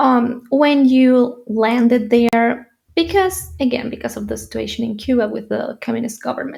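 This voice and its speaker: The speaker has a Spanish accent. The pace is moderate, and the pitch variation is ordinary. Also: woman, high pitch for a woman. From Spain, Madrid. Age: 20s. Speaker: YouTuber and entrepreneur. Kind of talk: personal story vlog. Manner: halting.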